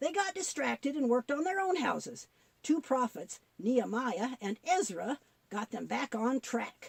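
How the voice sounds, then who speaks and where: A woman puts on a cartoonish character voice. Her pitch is high. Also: moderate pace. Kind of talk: Bible story telling. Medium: puppet.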